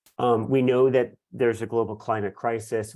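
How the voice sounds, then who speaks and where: Over a quiet background, a man speaks at a fairly quick pace in a monotone, flat intonation. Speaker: school board member. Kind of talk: board meeting presentation. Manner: fast.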